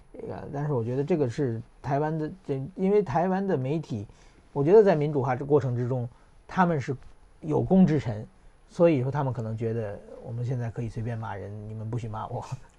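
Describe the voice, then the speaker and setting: Moving at a fairly quick pace, a man speaks in a dark, mellow tone that is somewhat breathy. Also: medium pitch for a man, lively intonation. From China, then Japan. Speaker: journalist and political commentator. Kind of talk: casual interview chat.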